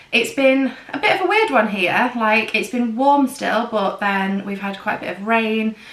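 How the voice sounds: The woman's voice is fairly high in pitch and fairly bright in tone. Audible room echo surrounds it. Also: ordinary pitch variation, moderate pace.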